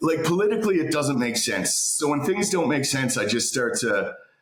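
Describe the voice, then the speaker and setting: With a Canadian accent, a man talks in a room with audible echo. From Canada. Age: 40s. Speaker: political commentator. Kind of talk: casual interview chat. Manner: halting, many repeated words.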